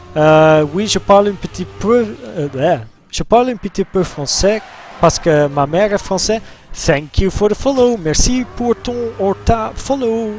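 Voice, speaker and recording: This speaker talks with a Dutch accent and lively intonation. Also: man, high pitch for a man, moderate pace. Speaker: gaming streamer. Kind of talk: live game stream commentary.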